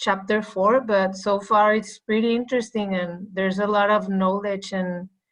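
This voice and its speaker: Flat and monotone in intonation, a woman talks with a non-native accent. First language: not English. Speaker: triathlete in swim group book club. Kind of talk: casual group discussion. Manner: halting, many fillers.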